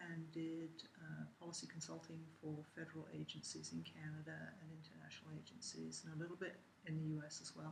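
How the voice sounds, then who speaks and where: Speaking at a fairly quick pace with an English accent, a woman is heard with audible room echo. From England. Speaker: university lecturer. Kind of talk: interview. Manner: hesitant, many fillers.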